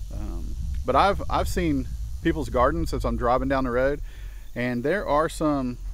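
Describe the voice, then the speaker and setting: A man at a fairly slow pace, dry sound with no echo. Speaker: home gardener vlogger. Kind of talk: casual vlog chat. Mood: relaxed, friendly. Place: garden. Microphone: phone near.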